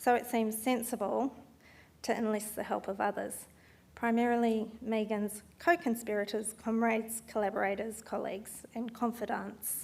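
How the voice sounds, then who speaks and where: With an Australian accent, a woman speaks at a moderate pace in a fairly high pitch, her intonation monotone and flat. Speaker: event organiser and speaker, landscape architect. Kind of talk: speech at memorial talk event. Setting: stage with audience, also streamed online. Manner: formal.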